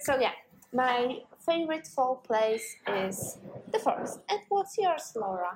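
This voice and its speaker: Her pitch is high and swings very widely. This woman speaks at a very slow pace. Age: 20s. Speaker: podcast co-host. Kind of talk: casual chat. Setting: cafe.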